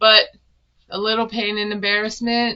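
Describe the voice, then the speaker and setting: A woman at a medium pitch speaks in a monotone with flat intonation. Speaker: reality TV recap youtuber. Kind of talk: casual recap monologue. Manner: monotone, dry delivery.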